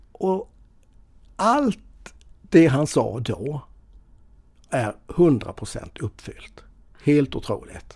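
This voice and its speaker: This man speaks at a very slow pace with long, frequent pauses. His voice has vocal fry and very wide pitch swings. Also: fairly high pitch for a man. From Sweden, Småland east coast (Mönsterås). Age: 50s. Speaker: financial advisor. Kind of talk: casual interview. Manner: halting, many fillers and repetitions.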